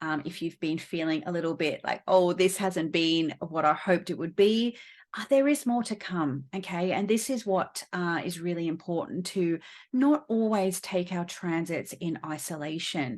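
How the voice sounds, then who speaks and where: Fairly low-pitched woman with an Australian accent, lively intonation and a moderate pace over a quiet background. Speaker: astrologer and astrology teacher. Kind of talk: casual explanatory video talk to camera; course promotion. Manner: many fillers (um, uh, you know).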